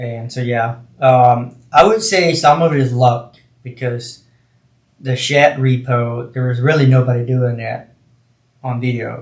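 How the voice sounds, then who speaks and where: Somewhat breathy, a man with an American accent speaks at a fairly slow pace. His pitch is medium and his intonation fairly even. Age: 30s. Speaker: YouTuber, shed repo channel. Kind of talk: casual podcast conversation.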